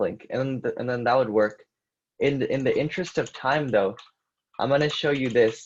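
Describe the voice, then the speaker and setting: Over a quiet background, a man with an unremarkable speaking voice talks at a moderate pace and medium pitch. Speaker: coding instructor. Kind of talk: live coding tutorial. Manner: casual with fillers.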